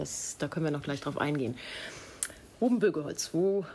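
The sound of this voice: At a moderate pace, a woman speaks in a low voice with a dark, mellow tone.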